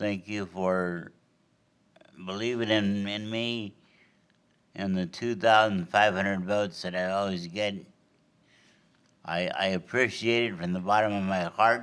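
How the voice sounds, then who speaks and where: In an American accent, a man talks at a fairly slow pace with a fairly low pitch, a monotone, flat intonation, and long, frequent pauses. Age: 60s. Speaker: mayoral candidate. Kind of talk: closing statement at candidate forum. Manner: halting, with repetitions.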